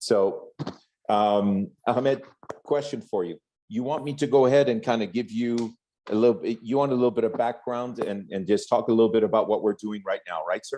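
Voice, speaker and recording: A man's dark, mellow, medium-pitched voice with a French accent, fairly quick pace, ordinary pitch variation and a quiet background. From France, raised in Corsica. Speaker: network marketing executive. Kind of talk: speech to event audience.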